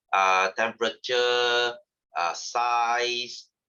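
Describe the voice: A man talks at a very slow pace with fairly even intonation. His tone is bright and sharp, yet clear and smooth. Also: medium pitch for a man.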